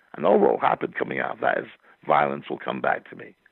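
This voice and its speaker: This is a man speaking. He has a Scottish accent. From Scotland. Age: 60s. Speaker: poet and novelist. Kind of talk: interview conversation. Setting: podcast.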